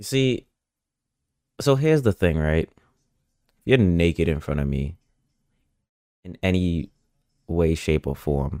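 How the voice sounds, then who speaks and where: A man with a very deep, low voice and a dark, mellow tone, his intonation lively. He talks at a fairly slow pace with long, frequent pauses, the sound dry and close with no echo. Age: 20s. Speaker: podcast host. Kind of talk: casual chat. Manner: laughs often.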